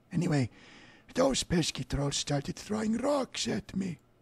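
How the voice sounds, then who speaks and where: Putting on a raspy character voice, a man speaks at a fairly slow pace with very wide pitch swings. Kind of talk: comic character voice. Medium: game stream. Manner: grumpy, complaining.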